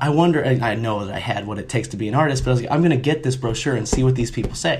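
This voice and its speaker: A man with an American accent, medium in pitch, with ordinary pitch variation over noticeable background noise. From US Midwest. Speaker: mural and sign painter. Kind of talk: casual chat.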